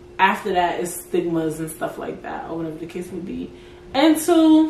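A woman speaks with an American accent at a moderate pace. Her tone is animated, with noticeable background noise behind her. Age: 20s. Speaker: podcast host. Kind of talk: casual solo talk.

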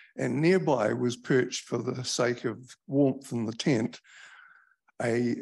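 Someone with a New Zealand accent and vocal fry speaks at a fairly slow pace with fairly even intonation over a quiet background. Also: man. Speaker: event host. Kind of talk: formal introduction. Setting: stage with audience.

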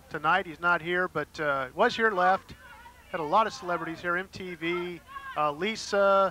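Over noticeable background noise, a man with a high-pitched voice speaks at a fairly slow pace, his pitch varying in an ordinary way. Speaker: wrestling co-commentator and ring announcer. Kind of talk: live wrestling commentary, ring announcing.

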